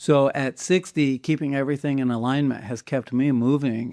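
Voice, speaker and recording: In a dry, close recording with no echo, a man with a medium pitch and a dark, mellow tone speaks at a moderate pace. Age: 60s. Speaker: podcast host. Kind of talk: casual chat.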